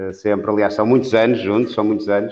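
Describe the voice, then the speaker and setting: This man has a normal speaking voice, fairly low in pitch, with fairly even intonation. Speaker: sports radio reporter. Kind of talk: casual chat.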